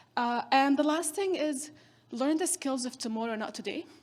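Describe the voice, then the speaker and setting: A non-native accent at a moderate pace, with ordinary pitch variation. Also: woman. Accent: foreign. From northern Syria, Kurdish. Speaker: keynote speaker, social entrepreneur. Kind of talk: keynote speech.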